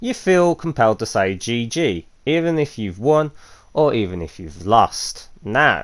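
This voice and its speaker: On a very clean recording with a silent background, a man speaks at a fairly slow pace with a medium pitch. His voice makes very wide pitch swings and big swings in loudness. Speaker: gaming youtuber. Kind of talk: gameplay commentary. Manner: casual with many fillers.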